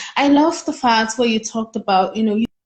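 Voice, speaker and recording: Her voice is fairly high and somewhat breathy. The woman's pitch moves with ordinary variation. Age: young. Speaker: student interviewer. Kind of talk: casual interview chat. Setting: live video call.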